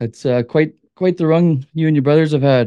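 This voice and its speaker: An ordinary speaking voice from a man with a Canadian accent, fairly even intonation and a moderate pace against a quiet background. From Manitoba, Canada. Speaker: hunting and fishing guide. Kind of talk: casual interview.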